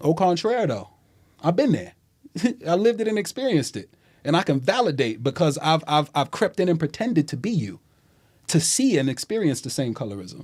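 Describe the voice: Swinging widely in pitch, a man with a fairly high voice talks at a moderate pace, his tone slightly mellow with a slightly husky edge.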